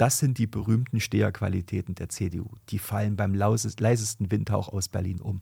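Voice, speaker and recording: A man speaks at a moderate pace with hardly any pauses, his fairly low voice somewhat breathy. His tone is dark and mellow, and his intonation fairly even. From Thuringia, Germany. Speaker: lawyer and politician. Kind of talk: political podcast chat. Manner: hesitant, many fillers.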